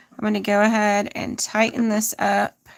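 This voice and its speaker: A woman with an American accent, speaking at a very slow pace. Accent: southern accent, fading. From US South, northeast Texas. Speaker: crochet content creator. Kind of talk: live crochet tutorial. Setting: livestream. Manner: casual, chatty.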